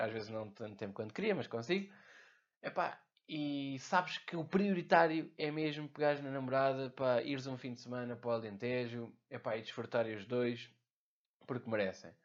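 Speaking at a fairly quick pace with a European Portuguese accent, a man uses ordinary pitch variation over a quiet background. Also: big swings in loudness. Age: 20s. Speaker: podcast host, entrepreneur. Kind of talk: casual monologue. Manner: informal, filler-heavy.

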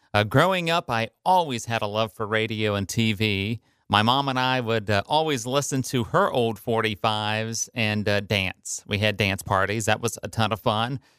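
The speaker has an American accent and a bright, sharp tone, with ordinary pitch variation at a moderate pace. There are hardly any pauses, and the recording is very clean with a silent background. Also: man, medium pitch for a man, dry, close sound with no echo. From Ohio, US Midwest. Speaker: radio personality. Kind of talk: scripted narration.

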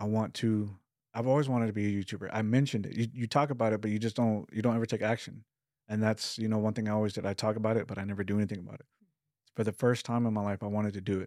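A man with an American accent, fairly low pitch and a dark, mellow tone speaks at a very fast pace in a flat monotone, on a very clean recording with a silent background. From Texas, Lubbock. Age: 30s. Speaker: YouTuber sharing personal mental health story. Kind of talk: interview testimony.

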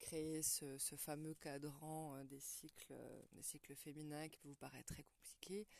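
A woman speaks in a very deep, low pitch at a fairly slow pace. Her intonation is monotone and flat. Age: 40s. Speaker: women's wellness podcaster. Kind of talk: monologue talk on menstrual cycle. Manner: hesitant with fillers.

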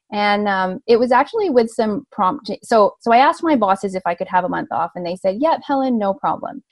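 Somewhat breathy and fairly quick, the voice has a Canadian accent and hardly any pauses, recorded with a dry, close sound and no echo. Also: woman, fairly high pitch for a woman, lively intonation. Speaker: veterinarian, industry communication manager. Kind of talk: interview.

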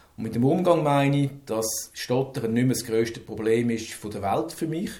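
A man talks at a moderate pace, his medium-pitched voice somewhat breathy. His pitch varies in an ordinary way. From Switzerland, Zürich. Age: 50s. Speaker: manager who stutters. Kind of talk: personal testimony. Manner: halting.

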